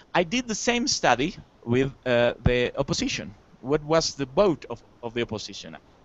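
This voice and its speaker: With a Spanish accent, a man speaks at a moderate pace in a fairly high pitch, his voice swinging very widely up and down. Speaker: academic panelist. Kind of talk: conference presentation. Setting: university lecture room with audience. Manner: halting, many fillers.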